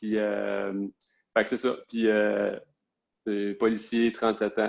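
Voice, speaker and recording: A man with a Quebec accent speaks very slowly at a fairly low pitch. His intonation is monotone and flat. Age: 30s. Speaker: police officer. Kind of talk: interview. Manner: hesitant, many fillers.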